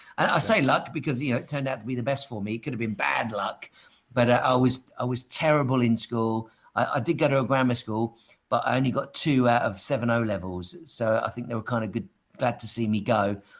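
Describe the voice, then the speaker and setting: Speaking at a fairly quick pace, a man with a southern English accent keeps a medium pitch with ordinary pitch variation. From England, Dover. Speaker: mindset coach and entertainer. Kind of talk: interview.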